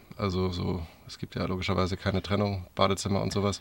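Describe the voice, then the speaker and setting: With a normal speaking voice, a man talks in fairly low pitch at a fairly quick pace. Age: 30s. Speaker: podcast host, van traveller. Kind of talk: casual chat. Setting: inside a camper van on a parking lot.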